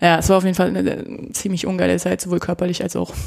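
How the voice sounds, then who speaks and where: A woman speaks in a fairly low pitch with ordinary pitch variation. Noticeable background noise runs underneath. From Germany, Nuremberg (Franconia). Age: 30s. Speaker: kendo practitioner. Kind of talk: casual interview.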